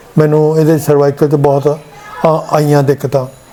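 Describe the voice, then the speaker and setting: A fairly high-pitched man speaks in a monotone, flat way against noticeable background noise. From Punjab, India. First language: Punjabi (speaking Hindi). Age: 70s. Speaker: patient, retired electrical engineer. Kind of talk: testimony.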